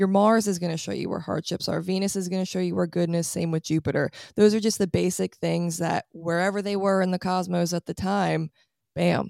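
Recorded very cleanly against a silent background, with a dry, close sound and no echo, a woman speaks at a medium pitch with ordinary pitch variation. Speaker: astrologer. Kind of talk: casual chat. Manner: fast talker.

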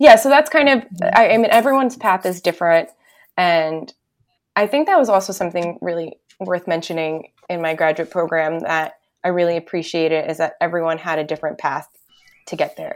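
This is a normal speaking voice with lively intonation. The recording is very clean, with a silent background. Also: woman, fairly low pitch for a woman, fairly quick pace. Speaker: art therapist. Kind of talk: casual interview chat.

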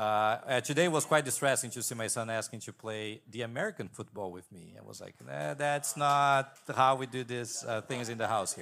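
A man with a Portuguese accent, a medium pitch and a bright, sharp tone, moderate pace, hardly any pauses, ordinary pitch variation and big swings in loudness, in a very clean recording with a silent background. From Brazil. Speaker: PhD student in Old Testament. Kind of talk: panel discussion.

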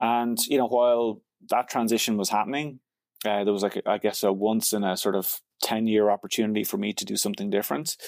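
In a Dublin accent, a man talks at a very fast pace with a fairly low pitch and fairly even intonation, the sound dry and close with no echo on a very clean recording with a silent background. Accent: Dublin Irish. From Ireland, Dublin. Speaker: tech company founder and CEO. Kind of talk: interview.

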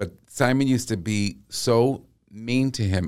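With an American accent, a man is talking. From Massachusetts, US. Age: 50s. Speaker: vocal coach. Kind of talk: casual chat. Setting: studio. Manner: animated.

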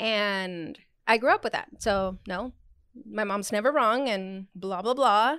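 A woman with a plain, everyday voice at a medium pitch, ordinary pitch variation and a fairly slow pace, on a very clean recording with a silent background. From Arizona, US Southwest (born in Mexico). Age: 30s. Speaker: podcast guest, friend of the hosts. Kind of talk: casual chat.

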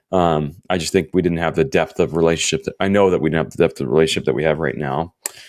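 Talking at a very fast pace with hardly any pauses, a man uses a very deep, low voice with vocal fry and ordinary pitch variation. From Florida, US South. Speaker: life coach. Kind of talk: testimony.

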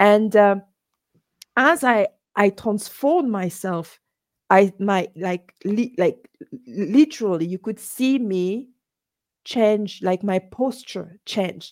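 A woman with a medium pitch and ordinary pitch variation speaks at a very slow pace with long, frequent pauses in a dry, close sound with no echo. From Gabon. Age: 40s. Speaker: entrepreneur and language coach. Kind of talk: interview conversation.

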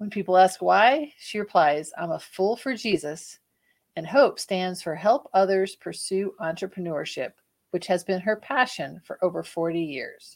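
An ordinary speaking voice with lively intonation and a fairly slow pace, on a very clean recording with a silent background. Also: woman, medium pitch for a woman. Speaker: podcast co-host. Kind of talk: interview.

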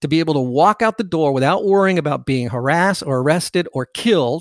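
A plain, everyday voice from a man, fairly high in pitch, with lively intonation at a fairly quick pace, dry and close with no echo, in a very clean recording over a silent background. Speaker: podcast host.

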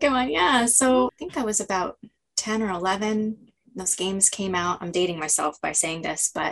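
With an American accent, a woman talks in a normal speaking voice at medium pitch, her intonation lively and her pace moderate. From United States. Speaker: Japan studies specialist and translator. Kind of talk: casual interview.

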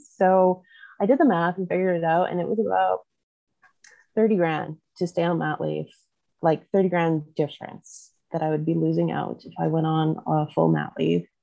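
The speaker is a woman with a Canadian Prairie accent. She keeps a moderate pace. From Canada, southwest Manitoba. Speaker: vet tech turned oil hauler and mom. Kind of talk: casual interview chat.

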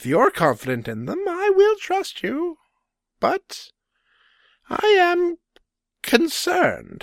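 A put-on character voice, squeaky and at an extremely high pitch, creeps along at a very slow pace with long, frequent pauses. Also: very clean recording, silent background. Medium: audio drama. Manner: measured, deliberate.

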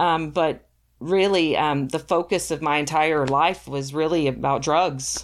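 A woman with an American accent speaks at a fairly slow pace in a very deep, low voice, her intonation fairly even. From Texas. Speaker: social worker. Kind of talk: testimony. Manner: hesitant, many fillers.

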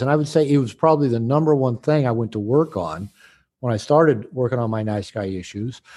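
With an American accent, a man speaks fairly quickly. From United States. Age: 60s. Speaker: author and therapist. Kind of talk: interview conversation. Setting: video call. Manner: hesitant with frequent word repetitions.

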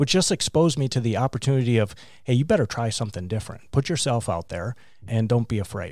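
This man has a normal speaking voice, medium in pitch with ordinary variation, and speaks with an American accent. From Wisconsin, US Midwest. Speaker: business leadership group chair. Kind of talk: interview.

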